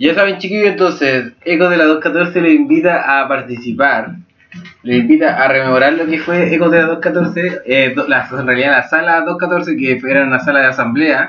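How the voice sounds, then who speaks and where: Over noticeable background noise, a man with a Chilean accent talks at a fairly high pitch with ordinary pitch variation. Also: moderate pace. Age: 20s. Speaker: student podcast host. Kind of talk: casual chat.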